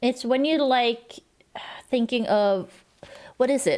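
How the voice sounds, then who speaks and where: A woman mumbles at a moderate pace. Her pitch sits high. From Sweden. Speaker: streamer. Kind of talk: casual chat. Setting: livestream. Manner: mumbling.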